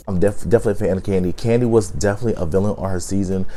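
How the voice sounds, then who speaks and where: Against music in the background, a man with a fairly low pitch speaks at a very fast pace with fairly even intonation. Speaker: YouTube reality TV reviewer. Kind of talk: casual video commentary. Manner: casual, with frequent fillers.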